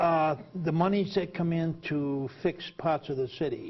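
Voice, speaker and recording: A man speaks fairly slowly and somewhat breathily. His pitch varies in an ordinary way. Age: 60s. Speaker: TV talk show host, former prisoner. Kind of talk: TV interview.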